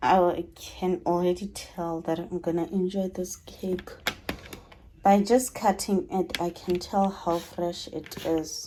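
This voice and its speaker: Noticeable background noise sits under a woman's voice. Her pitch is fairly low and she speaks at a very slow pace. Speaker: vlogger. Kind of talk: casual vlog talk. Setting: in a car.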